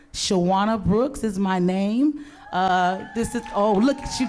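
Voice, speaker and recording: With lively intonation and a medium pitch, a woman speaks at a very slow pace amid audible room echo. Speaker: event host. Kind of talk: live event hosting. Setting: outdoor stage with audience. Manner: animated.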